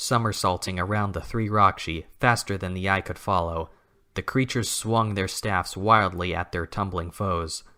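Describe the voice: In plain reading aloud, the pitch varies by an ordinary amount.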